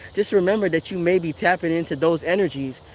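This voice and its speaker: Talking at a fairly quick pace, a man with an American accent has a high pitch. His intonation is fairly even. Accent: Virgin Islands accent, usually toned down. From US Virgin Islands (Saint Thomas). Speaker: tarot reader and spiritual commentator. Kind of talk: casual motivational monologue. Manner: rambling conversational, many fillers.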